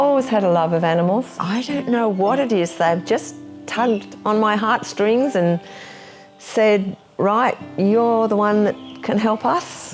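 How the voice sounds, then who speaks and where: Over music in the background, a woman with an Australian accent speaks at a fairly slow pace, fairly high in pitch, with lively intonation and very even loudness. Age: 70s. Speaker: wildlife carer. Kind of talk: interview answer.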